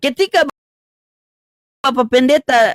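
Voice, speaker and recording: An extremely high-pitched man's voice carries an animated tone in a dry, close sound with no echo. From North Maluku, Ternate. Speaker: live stream debate host. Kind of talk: religious debate.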